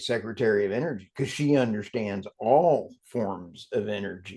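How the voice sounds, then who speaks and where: With an American accent, a man talks at a moderate pace. His pitch varies in an ordinary way. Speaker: energy podcast host. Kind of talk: interview podcast conversation. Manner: animated.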